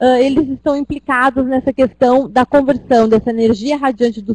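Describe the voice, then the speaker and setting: This voice moves at a fairly quick pace with ordinary pitch variation. It is a plain, everyday voice with a dry, close sound and no echo. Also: woman. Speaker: teacher. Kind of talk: lecture. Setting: web conference class.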